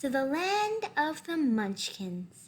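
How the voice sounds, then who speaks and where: Using a put-on character voice, a woman speaks at a very slow pace with very wide pitch swings. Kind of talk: formal, courteous.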